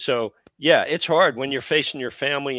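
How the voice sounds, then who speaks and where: A normal speaking voice with an American accent, fairly quick pace, and ordinary pitch variation. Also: man. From USA. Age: 60s. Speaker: football fan. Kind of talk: casual chat.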